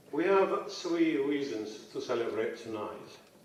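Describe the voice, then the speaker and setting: Audible room echo surrounds the speaker, who has an Ethiopian accent. Noticeable background noise is present too. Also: man. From Ethiopia (Addis Ababa). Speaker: professor, keynote speaker. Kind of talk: keynote speech. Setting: stage with audience.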